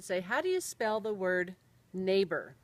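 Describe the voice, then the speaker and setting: An unremarkable speaking voice from a woman with an American accent, at a fairly quick pace. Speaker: storyteller. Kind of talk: personal storytelling.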